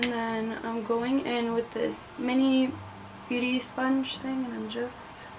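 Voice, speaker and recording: A woman speaks very slowly at a high pitch with monotone, flat intonation. Noticeable background noise runs underneath. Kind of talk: casual talk to camera. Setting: bedroom. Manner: relaxed, chatty.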